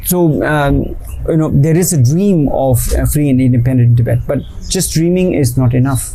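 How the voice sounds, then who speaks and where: With an Indian accent, a man of fairly high pitch speaks at a moderate pace with ordinary pitch variation and very even loudness, amid audible room echo and noticeable background noise. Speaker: activist and poet. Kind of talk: interview. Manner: hesitant, many fillers.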